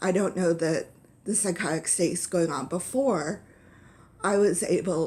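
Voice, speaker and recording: Her tone dark and mellow, a woman speaks at a fairly low pitch and a fairly slow pace with ordinary pitch variation. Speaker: vlogger with epilepsy. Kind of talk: personal vlog. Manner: stuttering, halting.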